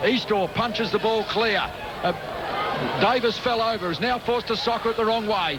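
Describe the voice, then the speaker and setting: A man's high-pitched voice at a moderate pace, fairly even in intonation, with very even loudness, hardly any pauses and noticeable background noise. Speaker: sports commentator. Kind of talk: radio sports commentary. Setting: radio broadcast.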